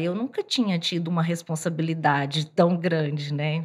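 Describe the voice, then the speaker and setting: At a fairly slow pace, a woman talks in a fairly low, somewhat breathy voice. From Bahia backlands, Brazil. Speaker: fashion designer. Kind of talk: casual interview.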